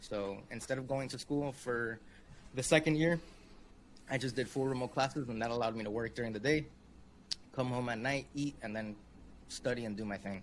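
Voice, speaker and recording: A man talks at a medium pitch with fairly even intonation. Long, frequent pauses break up his speech. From Miami, Florida. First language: Spanish. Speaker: web design consultant. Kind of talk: interview.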